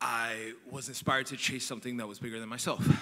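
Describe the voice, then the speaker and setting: The tone is bright and sharp, and the pace is fairly quick. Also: man. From New York. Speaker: software entrepreneur, nonprofit founder. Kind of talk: conference panel talk.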